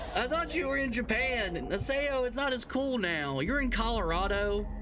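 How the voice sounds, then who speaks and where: A man speaks at an extremely high pitch in a raised, projected voice with lively intonation and a moderate pace. Audible room echo and noticeable background noise surround him. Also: very even loudness. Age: 30s. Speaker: game streamer. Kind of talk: casual live stream chat. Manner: casual, rambling with false starts.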